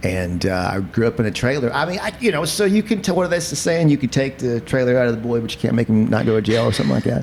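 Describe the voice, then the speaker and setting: Through noticeable background noise, a man at medium pitch rushes along at a very fast pace with hardly any pauses and very wide pitch swings. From eastern Kentucky, Appalachia. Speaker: podcast host and comedian. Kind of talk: casual chat. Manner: animated.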